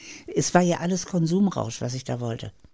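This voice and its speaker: A woman's very deep, low voice, dark and mellow in tone, with lively intonation at a fairly quick pace. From Hannover, northern Germany. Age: 80s+. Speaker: author and YouTuber. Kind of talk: interview, life story.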